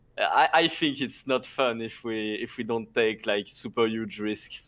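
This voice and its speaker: The speaker has a French accent and talks at a fairly slow pace with ordinary pitch variation. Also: man, medium pitch for a man. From France. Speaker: video game co-caster. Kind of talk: casual chat. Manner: halting, many fillers.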